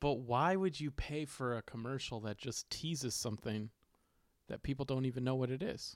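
An unremarkable speaking voice from a man, medium in pitch with ordinary pitch variation, moves at a moderate pace in a dry, close sound with no echo. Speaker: podcast host. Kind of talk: casual chat.

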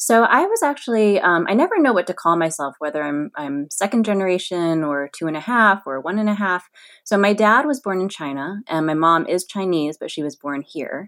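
A woman has an ordinary speaking voice at a medium pitch, with lively intonation. She talks at a moderate pace on a very clean recording with a silent background. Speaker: magazine editor. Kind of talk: interview conversation.

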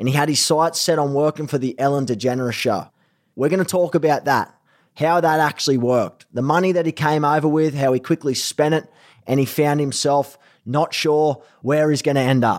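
Talking at a fairly quick pace, a man with a fairly high pitch keeps fairly even intonation and very even loudness in a very clean recording with a silent background. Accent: strong Australian. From Australia. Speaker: podcast host. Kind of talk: casual, friendly, slangy.

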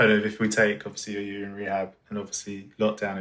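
Someone with a southeast English accent talks at a fairly quick pace. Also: man. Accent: south-east English. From Orpington, south-east London. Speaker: podcast host. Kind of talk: interview.

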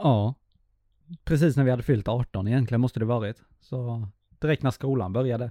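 A man's medium-pitched voice, dark and mellow in tone, with fairly even intonation at a moderate pace, dry and close with no echo, on a very clean recording with a silent background. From Småland, Sweden (Hestra). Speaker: podcast co-host, filmmaker. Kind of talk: casual chat.

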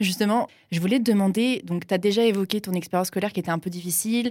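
Words tumble out at a very fast pace from a woman. She holds a medium pitch. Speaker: podcast host. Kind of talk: interview conversation.

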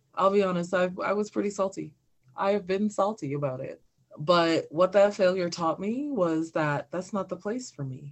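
Her pitch medium, a woman talks in a normal speaking voice. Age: 40s. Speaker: comedian and activist. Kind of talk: casual chat.

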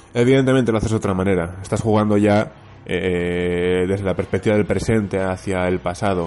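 This man's voice sits fairly low in pitch. He talks at a fairly quick pace with fairly even intonation. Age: 30s. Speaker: podcast listener. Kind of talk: recorded voice message. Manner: halting.

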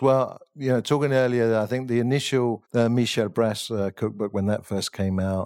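This man speaks with an English accent at a moderate pace. His pitch rises and falls in an ordinary way. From England. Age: 50s. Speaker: chef. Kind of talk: interview.

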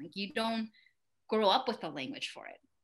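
Against a quiet background, a woman with an American accent speaks at a fairly quick pace, her fairly high-pitched voice bright and sharp in tone. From Mexico, came to US at nine. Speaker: actress and immigrant advocate. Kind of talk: casual interview chat.

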